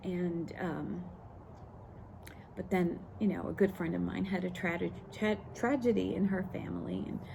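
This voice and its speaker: A woman speaks at a fairly slow pace with long, frequent pauses, and audible room echo surrounds her voice. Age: 60s. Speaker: lifestyle vlogger. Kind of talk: personal story monologue. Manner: halting, many fillers.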